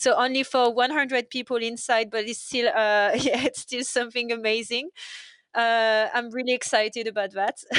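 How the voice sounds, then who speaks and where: A woman with a French accent speaks at a moderate pace with a high pitch. Her intonation is fairly even against a quiet background. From France. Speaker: waitress. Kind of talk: casual chat. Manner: halting.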